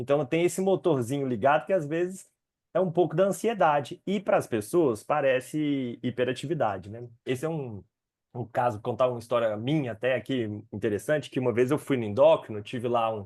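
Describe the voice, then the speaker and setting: Lively intonation runs through this man's medium-pitched voice. The background is quiet. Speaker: psychiatrist specializing in ADHD. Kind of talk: educational webinar. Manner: fast.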